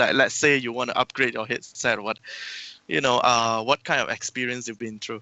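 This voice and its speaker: At a fairly quick pace, an ordinary speaking voice carries fairly even intonation. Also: man, medium pitch for a man. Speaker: podcast host. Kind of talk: live-streamed panel discussion. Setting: live stream with chat.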